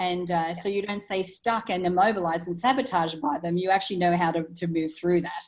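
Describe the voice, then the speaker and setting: A woman with a fairly low pitch and ordinary pitch variation talks at a very fast pace with hardly any pauses. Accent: Australian. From Australia, country town. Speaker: author and transformational speaker. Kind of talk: interview conversation.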